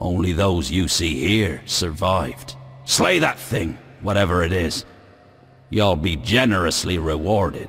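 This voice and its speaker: A man puts on a character voice with a very deep, low pitch and talks at a fairly slow pace. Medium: machinima.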